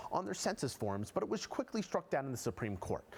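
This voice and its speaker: In a very clean recording with a silent background, the voice shows vocal fry and very wide pitch swings. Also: man. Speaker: TV news reporter. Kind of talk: TV news feature report.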